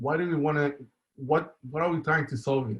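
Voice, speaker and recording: With an Israeli accent, a man speaks in a somewhat breathy voice. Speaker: software engineer, conference speaker. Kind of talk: conference talk. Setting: online conference with live chat. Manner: halting, many fillers.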